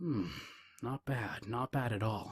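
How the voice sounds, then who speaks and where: Growling in a put-on character voice, a man speaks at a medium pitch with a dry, close sound and no echo. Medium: read story. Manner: menacing, curt.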